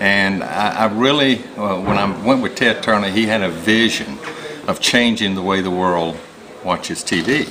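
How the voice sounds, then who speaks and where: A man speaks at a moderate pace with a fairly low pitch and ordinary pitch variation. Noticeable background noise and audible room echo surround his voice. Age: 60s. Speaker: business executive. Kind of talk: promotional testimony. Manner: halting, many fillers.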